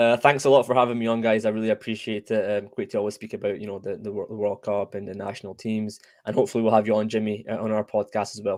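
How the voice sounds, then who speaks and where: On a very clean recording with a silent background, a man with a Scottish accent talks very fast in a fairly low, monotone, flat voice, his loudness swinging widely. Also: hardly any pauses. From Scotland. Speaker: football podcast host. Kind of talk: casual chat. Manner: halting.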